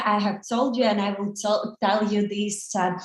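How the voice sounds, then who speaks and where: A woman's somewhat breathy voice with audible room echo. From Ukraine. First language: Russian and Ukrainian. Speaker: social media marketing agency co-owner. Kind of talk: online conference lecture. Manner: halting, many fillers.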